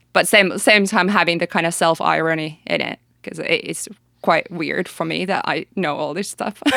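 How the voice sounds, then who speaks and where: A woman speaks at a moderate pace in a fairly low voice, her tone bright and sharp, with vocal fry and fairly even intonation. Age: 30s. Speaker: music producer and educator. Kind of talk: casual interview.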